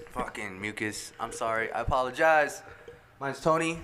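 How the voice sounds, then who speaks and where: The intonation is lively and the pace moderate, with noticeable background noise. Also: man. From Navajo Nation. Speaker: musician, band vocalist. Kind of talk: casual chat.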